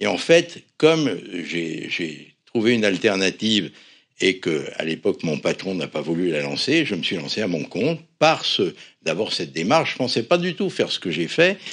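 A man speaks at a fairly low pitch with very wide pitch swings. The background is quiet. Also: moderate pace. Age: 70s. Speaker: cosmetics company founder, pharmacist. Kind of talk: interview. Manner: animated.

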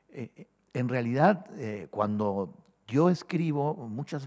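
With a quiet background, a man at a medium pitch speaks very slowly, his voice making very wide pitch swings. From Peru, Lima; Peru. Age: 60s. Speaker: poet. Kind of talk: interview answer. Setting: stage with audience. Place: hall. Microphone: podium.

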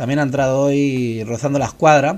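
A man speaks in a Castilian accent. His pitch is fairly high. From Spain. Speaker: YouTube music channel host. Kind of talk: casual vlog talk to viewers. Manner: hesitant, many fillers and repetitions. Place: home room. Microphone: studio mic.

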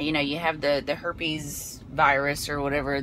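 Woman's voice, dry with no echo, over light background noise. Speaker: vlogger. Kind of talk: casual vlog chat. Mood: candid, occasional laughs. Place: car. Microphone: phone near.

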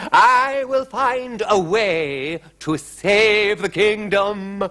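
With faint music in the background, a man puts on a character voice that is high-pitched, bright and sharp, at a very slow pace. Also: ordinary pitch variation.

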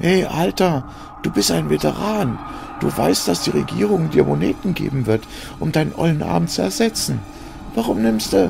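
A croaky put-on character voice from a man, at a moderate pace with long, frequent pauses and clear background noise. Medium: audio drama. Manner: coarse, slangy, pushy.

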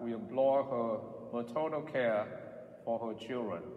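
A man at a moderate pace, with ordinary pitch variation and audible room echo. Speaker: priest. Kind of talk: prayer and address to the congregation. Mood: solemn, calm. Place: church.

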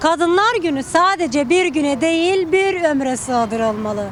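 Amid noticeable background noise, a high-pitched woman speaks at a fairly slow pace with lively intonation. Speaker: reporter. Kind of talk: news report narration.

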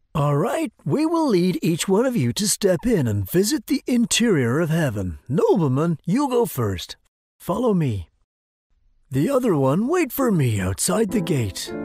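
A cartoonish character voice with a slightly husky edge and slightly mellow tone, very wide pitch swings, a fairly slow pace, and a dry, close sound with no echo.

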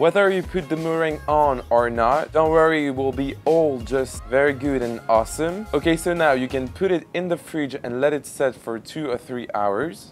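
A man with ordinary pitch variation, faint music in the background. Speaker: cooking video host. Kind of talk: tutorial. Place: kitchen. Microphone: lapel.

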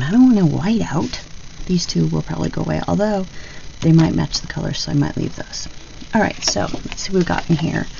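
Light background noise sits behind a woman talking at a fairly quick pace. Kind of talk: casual crafting tutorial chat. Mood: cheerful, relaxed.

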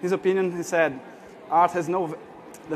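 Speaking in a Portuguese accent, a man talks at a fairly quick pace with a high pitch. His intonation is monotone and flat, with light background noise. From Brazil. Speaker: artist; speaker. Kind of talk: conference talk. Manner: halting. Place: hall.

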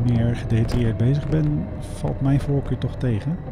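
At a moderate pace, a man talks amid noticeable background noise. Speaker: motorcycle vlogger. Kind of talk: casual vlog chat. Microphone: helmet.

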